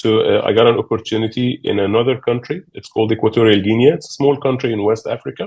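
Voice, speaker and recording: A man at medium pitch, talking at a fairly quick pace. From Egypt. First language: Arabic. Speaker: business executive. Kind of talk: interview. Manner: halting, many fillers.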